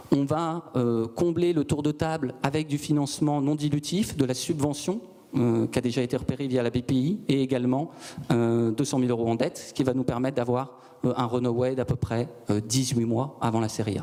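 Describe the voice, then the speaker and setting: Here a man speaks at a moderate pace in a medium pitch. His loudness is very even, and his pitch varies in an ordinary way. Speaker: startup founder. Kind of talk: sales pitch. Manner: calm; measured.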